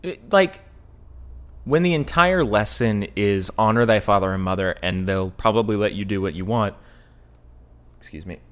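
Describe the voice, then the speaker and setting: A man with a fairly low pitch talks with lively intonation at a moderate pace. His loudness swings widely, and he leaves long, frequent pauses. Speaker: podcast co-host. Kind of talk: casual comedic chat reviewing a video. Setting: studio.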